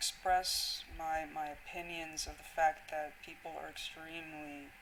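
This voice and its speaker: Noticeable noise in the background behind fairly slow talking. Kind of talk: casual monologue to camera. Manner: halting, many fillers and restarts.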